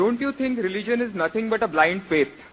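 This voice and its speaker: A man talks here. His pitch is high and his intonation is lively. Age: young. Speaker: audience member asking a question. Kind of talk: audience question at public event. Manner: hesitant, with filler uh.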